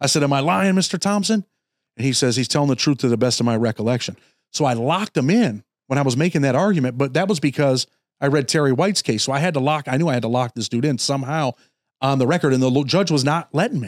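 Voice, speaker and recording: With an American accent, a man talks at a very fast pace and a fairly high pitch, with very even loudness, in a dry, close sound with no echo on a very clean recording with a silent background. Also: lively intonation. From Rochester, New York, US. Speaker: former prisoner turned paralegal. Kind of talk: interview storytelling.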